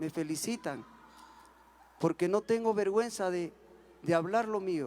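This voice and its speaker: This man speaks with an Andean accent. His pitch varies in an ordinary way. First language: Quechua (speaking Spanish). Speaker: singer. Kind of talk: panel talk.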